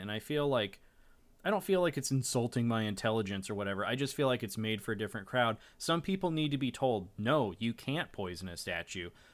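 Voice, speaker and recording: Lively intonation marks this man's normal speaking voice. He keeps a moderate pace and medium pitch. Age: 30s. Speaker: tabletop game developer and podcast host. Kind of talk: casual chat.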